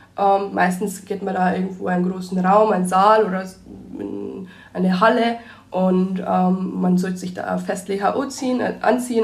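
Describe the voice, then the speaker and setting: Room echo is audible around a voice with fairly even intonation. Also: woman. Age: 20s. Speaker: biology student and youth volunteer. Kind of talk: casual interview.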